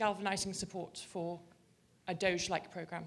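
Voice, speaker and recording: With a British accent, a woman speaks in fairly even intonation. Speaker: audience member asking a question. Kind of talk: audience question. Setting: conference with audience.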